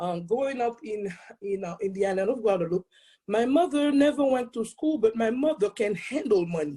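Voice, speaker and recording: A woman's fairly high voice with a dark, mellow tone, fairly quick delivery and a strong Haitian accent. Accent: thick Haitian French Creole. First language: Haitian Creole or French. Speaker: accountant and speaker. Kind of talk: testimony. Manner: fast when excited.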